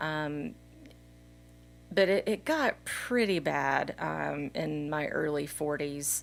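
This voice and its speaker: On a very clean recording with a silent background, a woman with an American accent speaks at a very deep, low pitch. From Texas. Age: 40s. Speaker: mountain biker. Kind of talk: casual chat.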